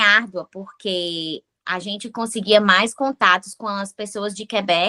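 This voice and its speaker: Her bright, sharp tone moves at a fairly slow pace with fairly even intonation, big swings in loudness, and hardly any pauses. The woman's sound is dry and close, with no echo. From Brazil, Fortaleza, Ceará. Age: 30s. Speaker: nurse and immigrant. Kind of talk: podcast interview.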